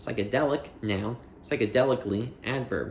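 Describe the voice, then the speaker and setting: With an unremarkable speaking voice, a man talks at medium pitch and a moderate pace with ordinary pitch variation. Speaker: audiobook reader. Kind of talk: reading aloud.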